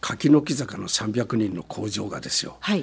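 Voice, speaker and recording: The pace is fairly slow. Vocal fry runs through the voice. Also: man. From Gunma, Japan (Shibukawa, Akagi). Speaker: company founder. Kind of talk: interview. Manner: animated.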